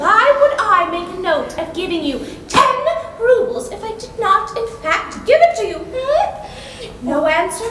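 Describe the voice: A woman's put-on character voice, extremely high-pitched with big pitch swings, at a fairly slow pace with few pauses and audible room echo.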